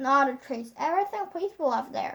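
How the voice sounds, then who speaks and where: A woman puts on a high-pitched character voice and talks at a fairly quick pace. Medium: read story.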